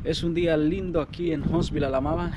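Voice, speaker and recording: Background music accompanies speech delivered at a moderate pace. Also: man. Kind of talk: casual vlog chat. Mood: calm, pleasant. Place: street. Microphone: phone near.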